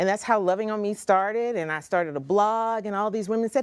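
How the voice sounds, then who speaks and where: Against a quiet background, a woman with a fairly high pitch talks at a very fast pace. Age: 40s. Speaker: motivational speaker and author. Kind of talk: talk show interview.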